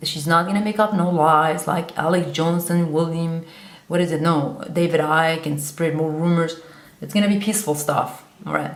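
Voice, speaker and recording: In a Kurdish accent, a woman talks at a moderate pace with a fairly low pitch and fairly even intonation, amid audible room echo and noticeable background noise. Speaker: vlogger. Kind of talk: monologue to camera. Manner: halting.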